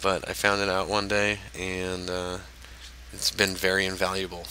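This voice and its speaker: This man's pitch is very deep and low, and his intonation is monotone and flat. He keeps a moderate pace over noticeable background noise. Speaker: gaming tutorial creator. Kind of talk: tutorial. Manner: hesitant, many fillers.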